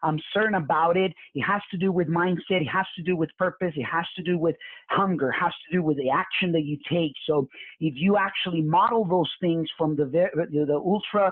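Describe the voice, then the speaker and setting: In a Spanish accent, a man speaks fairly quickly at a high pitch. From Mexico. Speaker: real estate investor and coach. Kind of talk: live webinar presentation. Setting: live online webinar. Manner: animated, repetitive with many fillers.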